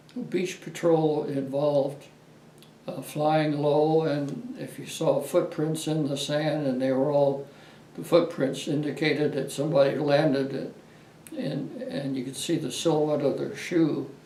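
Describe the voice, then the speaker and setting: At a fairly slow pace, a man with an American accent talks at a fairly high pitch with fairly even intonation, over noticeable background noise. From Los Angeles, California. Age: 80s+. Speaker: war veteran. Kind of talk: interview answer.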